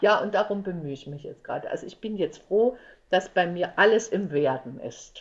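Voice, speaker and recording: A woman's normal speaking voice, medium in pitch, at a moderate pace with lively intonation and big swings in loudness. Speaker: entertainer and actress. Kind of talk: casual interview chat.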